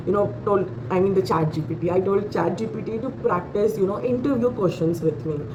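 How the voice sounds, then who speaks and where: A woman speaks in an Indian accent at a moderate pace, her pitch swinging very widely. She hardly pauses, and noticeable background noise is present. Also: medium pitch for a woman. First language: Hindi. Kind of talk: casual talk to camera. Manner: hesitant, many fillers.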